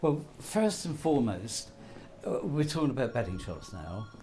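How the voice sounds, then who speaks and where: Heard with audible room echo, a somewhat breathy man with a dark, mellow tone makes very wide pitch swings at a moderate pace. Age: 80s+. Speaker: betting shop manager. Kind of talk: interview.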